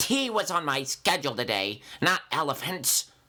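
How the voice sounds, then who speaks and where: A put-on character voice moves at a moderate pace with a middle pitch. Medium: read story. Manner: prim, fussy.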